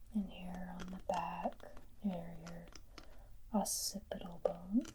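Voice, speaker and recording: The speaker is soft-spoken, with a gentle tone. The pace is very slow. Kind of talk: ASMR soft-spoken talk to camera. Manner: soft-spoken, gentle.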